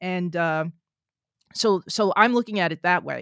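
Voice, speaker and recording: A woman with an American accent speaks at a moderate pace in an ordinary speaking voice, her fairly low pitch showing ordinary pitch variation, in a very clean, dry, close recording with no echo and a silent background. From New Jersey. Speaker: scientist and author. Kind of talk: interview.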